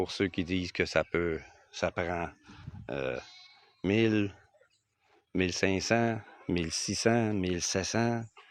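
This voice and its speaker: Speaking very slowly in a Quebec accent, a man uses a very deep, low pitch with ordinary pitch variation. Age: 60s. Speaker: retired expat vlogger. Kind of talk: casual vlog talk to camera. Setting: outdoors on his land. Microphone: phone microphone.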